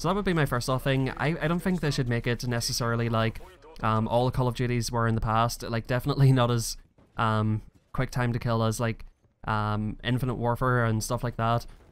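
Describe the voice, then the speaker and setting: This man has a Northern Irish accent and a medium pitch. He talks at a fairly quick pace with ordinary pitch variation and very even loudness. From Northern Ireland. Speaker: gaming youtuber. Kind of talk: gameplay commentary. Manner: casual, hesitant with fillers.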